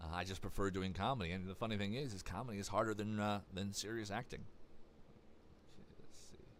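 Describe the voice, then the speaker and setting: Speech comes at a very fast pace, broken by long, frequent pauses. Room echo is audible. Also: man. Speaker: voice actor. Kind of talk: live stream Q&A. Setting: live stream. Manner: halting.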